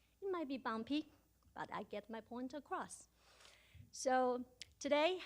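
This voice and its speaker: A high-pitched woman in a Chinese accent, lively intonation, fairly slow pace. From China. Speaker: award recipient, stuttering advocate. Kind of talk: acceptance speech.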